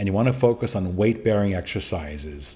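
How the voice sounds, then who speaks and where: An ordinary speaking voice from a man, fairly low in pitch, with lively intonation. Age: 60s. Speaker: podcast host, prostate cancer survivor. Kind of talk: solo podcast monologue giving advice. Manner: casual, conversational.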